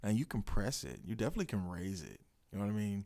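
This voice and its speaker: A man in an American accent, fairly low in pitch, with a dark, mellow tone. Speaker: podcast host, real estate investing consultant. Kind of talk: podcast explainer on investing. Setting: studio room. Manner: casual, with many fillers.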